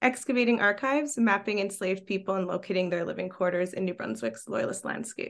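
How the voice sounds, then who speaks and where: A woman's medium-pitched voice in a Canadian accent, very fast with hardly any pauses, lively intonation and vocal fry. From Quebec. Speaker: archaeology graduate researcher. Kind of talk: podcast interview.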